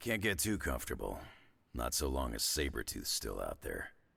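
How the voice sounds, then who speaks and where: A man puts on a raspy character voice pitched very deep and low. He speaks at a moderate pace. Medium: video game. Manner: gruff, dry, sarcastic.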